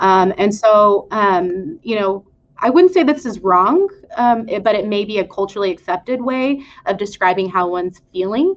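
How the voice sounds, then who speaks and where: The pace is moderate. Intonation is lively. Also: woman, medium pitch for a woman. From West Texas. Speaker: clinical psychologist. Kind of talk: panel discussion. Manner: hesitant, many fillers.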